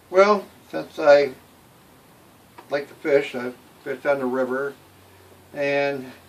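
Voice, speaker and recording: Over noticeable background noise, a man with an American accent and a fairly high voice speaks very slowly, with long, frequent pauses and big swings in loudness. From Michigan, Detroit area. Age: 70s. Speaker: local resident interviewee. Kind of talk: interview. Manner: hesitant, many fillers.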